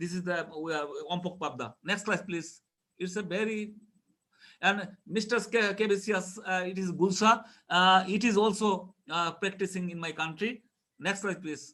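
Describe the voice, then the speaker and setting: With a raised, projected voice, a man of high pitch speaks at a moderate pace in a bright, sharp tone and fairly even intonation. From Bangladesh. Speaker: fisheries scientist. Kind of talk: conference presentation. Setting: web conference. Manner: halting, many fillers.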